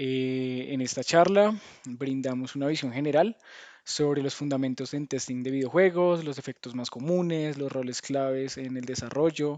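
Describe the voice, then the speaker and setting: His voice sits fairly high, and its pitch moves in an ordinary way. The man keeps to a moderate tempo. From Colombia. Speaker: game tester, speaker. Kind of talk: lecture. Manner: hesitant, many fillers and restarts.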